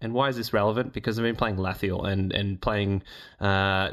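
On a very clean recording with a silent background, a man with a fairly low pitch talks at a moderate pace. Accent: Australian. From Australia. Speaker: podcast host. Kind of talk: casual chat.

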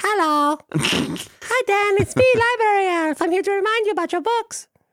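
A put-on character voice pitched extremely high. The pace is moderate. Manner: silly, playful.

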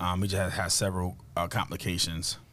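The speaker moves at a fairly quick pace in a New Jersey accent. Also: man. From New Jersey, Camden. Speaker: former pro football player and author. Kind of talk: interview. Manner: many filler words.

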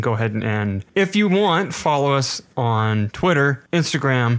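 A man with an ordinary speaking voice and medium pitch, at a fairly slow pace, on a very clean recording against a silent background. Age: 20s. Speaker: podcast co-host. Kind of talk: casual chat.

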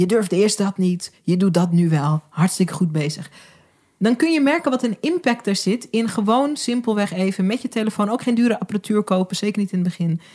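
Medium in pitch with a dark, mellow tone, a woman's somewhat breathy voice moves at a fairly quick pace with very even loudness. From Groningen, Netherlands. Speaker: video and visibility coach, documentary maker. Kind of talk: casual chat. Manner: animated, enthusiastic.

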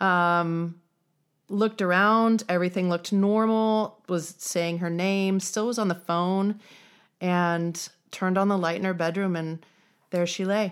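In a very clean recording with a silent background, a woman with an American accent talks at a fairly slow pace, her medium pitch held in a monotone, flat intonation. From Nebraska (Fremont). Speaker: corporate recruiter. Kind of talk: testimony. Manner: halting.

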